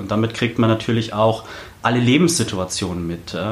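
A man at medium pitch talking at a very fast pace, with audible room echo and noticeable background noise. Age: 20s. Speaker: local politician, city council candidate. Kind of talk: podcast interview. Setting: studio in Berlin.

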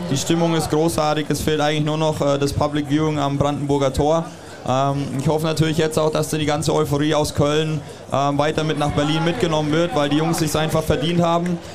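A man talks fairly quickly in a fairly high, flat monotone with very even loudness. Audible room echo and noticeable background noise are present. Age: 30s. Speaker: professional basketball player. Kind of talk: casual interview.

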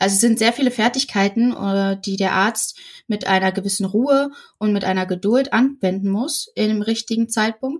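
A somewhat breathy voice moves at a moderate pace with ordinary pitch variation. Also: woman, fairly high pitch for a woman. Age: 20s. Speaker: midwife. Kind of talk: interview.

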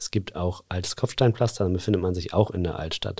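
On a very clean recording with a silent background, a man speaks in a plain, everyday voice, fairly low-pitched and fairly quick. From northwest Germany, Dümmer lake region. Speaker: advertising agency owner and association chairman. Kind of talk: casual interview.

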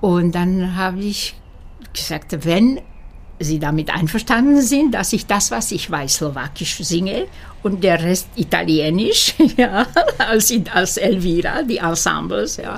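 A woman with a Slovak accent speaks at a very slow pace. Her medium-pitched voice has lively intonation. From Slovakia, Bratislava. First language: Slovak (speaking German). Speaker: opera singer. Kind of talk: interview. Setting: at home. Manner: halting.

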